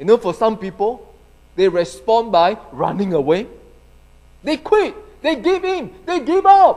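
A man speaks at a fairly slow pace in a high voice, his pitch swinging very widely, with long, frequent pauses. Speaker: pastor. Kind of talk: sermon. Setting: church. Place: church. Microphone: handheld.

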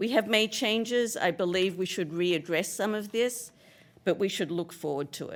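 A woman speaks at a medium pitch. The recording is very clean, with a silent background. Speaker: resident speaking at public comment. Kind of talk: public comment at council meeting. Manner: loud; assertive.

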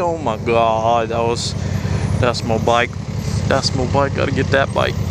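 A man's voice sounds dry with no echo, over noticeable background noise. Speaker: motovlogger. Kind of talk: casual vlog chat. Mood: upbeat, amused. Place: motorbike.

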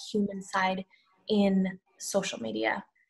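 A woman speaks at a medium pitch, her voice somewhat breathy. The background is quiet. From Sri Lanka. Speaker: social media strategist. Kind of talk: panel discussion on webinar. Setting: video call. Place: home room. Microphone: video call.

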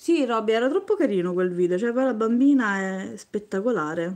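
Lively intonation from a woman at a moderate pace against a quiet background. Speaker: craft youtuber. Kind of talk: live stream beading tutorial. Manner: chatty, talks nonstop. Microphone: phone near.

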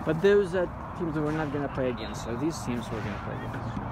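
The man's voice is dry with no echo, though loud background noise is present. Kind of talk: casual chat with a companion. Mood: amused, gossipy. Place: stadium. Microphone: phone near.

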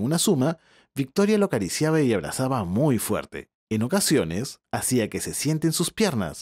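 A man with a medium pitch and a calm, gentle tone speaks at a moderate pace with very wide pitch swings and vocal fry, his sound dry and close with no echo. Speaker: storyteller. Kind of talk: bedtime story narration. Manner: calm, gentle storyteller pacing.

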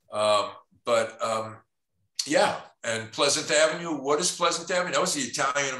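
With a New York accent, a man talks at a moderate pace in a fairly high pitch and lively intonation. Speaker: documentary photographer and teacher. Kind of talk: panel discussion presenting his photographs. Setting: video call.

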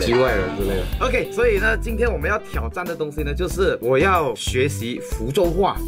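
A man talks at a moderate pace with hardly any pauses. Clear music sounds in the background. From Malaysia (Sarawak). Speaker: vlogger. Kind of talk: casual talk to camera. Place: home room.

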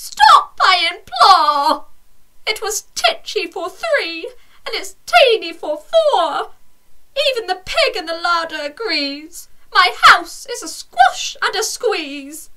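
A woman speaks in a put-on character voice at an extremely high pitch, very slowly, with big swings in loudness. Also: lively intonation. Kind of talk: bedtime story. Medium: read story.

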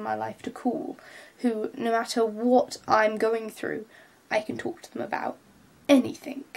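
A woman with a British accent, high-pitched, at a moderate pace. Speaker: vlogger. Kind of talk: vlog monologue. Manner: hesitant, many filler words.

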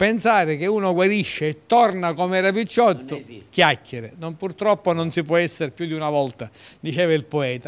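A high-pitched man with lively intonation at a moderate pace. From Siracusa, Sicily; Sicily. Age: 60s. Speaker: politician; guest. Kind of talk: casual interview. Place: cafe. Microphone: handheld.

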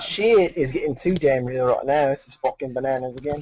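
A man with a British accent speaks at a fairly quick pace in a fairly high voice with ordinary pitch variation. The sound is dry with no echo, with light background noise. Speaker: streamer. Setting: online voice chat. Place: home room. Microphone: webcam.

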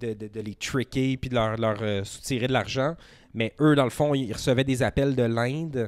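A man with a Quebec accent speaks at a moderate pace in a medium pitch, his intonation fairly even. The sound is dry with no echo, over a quiet background. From Outaouais, Quebec (Gatineau area). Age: 30s. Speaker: podcast producer. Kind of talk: casual chat. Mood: relaxed storytelling. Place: home room. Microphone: handheld.

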